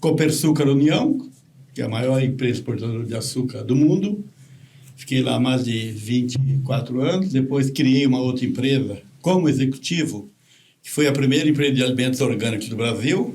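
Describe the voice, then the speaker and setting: This man's voice is somewhat breathy, with a dark, mellow tone and medium pitch. He speaks at a moderate pace with ordinary pitch variation, and audible room echo surrounds him. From interior of São Paulo state, Brazil. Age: 70s. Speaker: retired executive, tree planter. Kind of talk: podcast interview.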